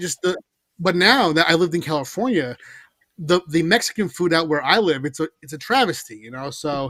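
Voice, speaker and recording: A man with an American accent speaks fairly quickly at a high pitch, with a bright, sharp tone and lively intonation, in a dry, close recording with no echo. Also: big swings in loudness. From New York, Long Island. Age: 30s. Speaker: comic book writer. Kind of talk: casual chat.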